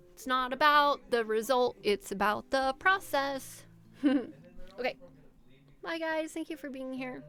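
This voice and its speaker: A woman speaks in a raised, projected voice with a high pitch and a bright, sharp tone. Her pace is fairly slow, with ordinary pitch variation and long, frequent pauses. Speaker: streamer. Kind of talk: casual chat. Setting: live stream. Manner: animated.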